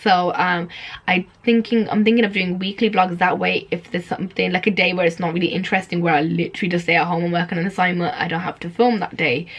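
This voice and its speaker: A woman talks at a very fast pace with hardly any pauses, her fairly low voice somewhat breathy and her intonation fairly even. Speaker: student vlogger. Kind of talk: casual vlog to camera.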